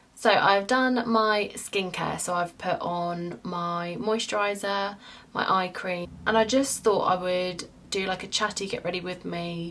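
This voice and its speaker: With an English accent, a woman speaks at a fairly slow pace and a medium pitch, with ordinary pitch variation. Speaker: beauty vlogger. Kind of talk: casual chat.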